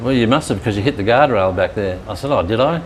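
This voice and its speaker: A man with an Australian accent speaks at a very fast pace and medium pitch over noticeable background noise. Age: 70s. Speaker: retired gym teacher. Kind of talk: casual interview. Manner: halting.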